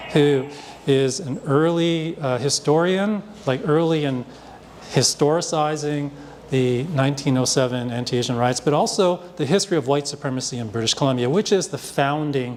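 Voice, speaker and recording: Noticeable background noise accompanies a man with a Canadian accent. He speaks at a moderate pace and fairly high pitch with ordinary pitch variation. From Hong Kong, raised in Vancouver from age three. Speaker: artist and panel moderator. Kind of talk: panel discussion introduction. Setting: live panel with audience at a festival. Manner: halting, many fillers.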